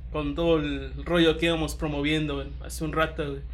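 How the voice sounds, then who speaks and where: Delivered at a moderate pace in a Mexican accent, the speech has audible room echo and music in the background. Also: man. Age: 20s. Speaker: lawyer and league organizer. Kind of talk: casual chat.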